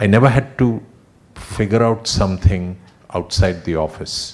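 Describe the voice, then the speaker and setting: A soft-spoken man at a fairly low pitch and moderate pace, with ordinary pitch variation. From India. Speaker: retiring company executive. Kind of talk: farewell speech.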